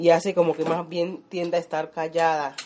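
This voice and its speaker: This is a woman talking at a moderate pace. Her voice sits fairly low. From Colombia, Chocó (Condoto). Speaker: community leader and home cook. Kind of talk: casual interview while cooking.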